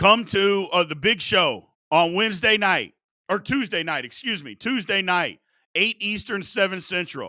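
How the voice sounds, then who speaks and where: A man's raised, projected voice, high in pitch with a bright, sharp tone and ordinary pitch variation, on a very clean recording with a silent background. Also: moderate pace. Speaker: sports fan show host. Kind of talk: livestream rant.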